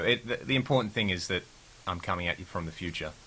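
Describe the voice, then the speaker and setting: A man with an Australian accent. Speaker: rock guitarist. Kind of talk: casual interview chat.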